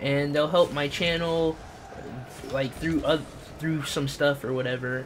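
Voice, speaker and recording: Noticeable background noise behind a fairly high-pitched male voice. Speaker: gaming livestreamer. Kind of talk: casual livestream chat while gaming. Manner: animated.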